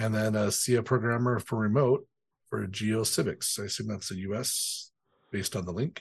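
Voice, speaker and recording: Somewhat breathy and playful, the voice goes at a fairly quick pace with fairly even intonation. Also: man. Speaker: podcast co-host, developer. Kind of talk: casual news podcast chat. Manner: joking, playful.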